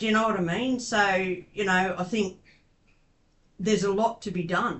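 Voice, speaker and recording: An Australian accent at a moderate pace. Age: 60s. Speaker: advocate and interviewer. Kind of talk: interview. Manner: hesitant, many fillers.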